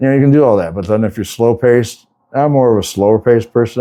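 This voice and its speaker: Over a silent background in a very clean recording, a man talks at a fairly quick pace in a dark, mellow, relaxed tone with ordinary pitch variation. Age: 60s. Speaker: semi-retired flooring contractor and vlogger. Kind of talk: casual talk-to-camera advice. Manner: relaxed, conversational with fillers.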